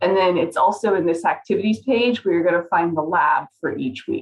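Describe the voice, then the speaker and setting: A woman with a plain, everyday voice, medium pitch, lively intonation and a moderate pace. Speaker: college biology instructor. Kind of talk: tutorial. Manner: casual, upbeat.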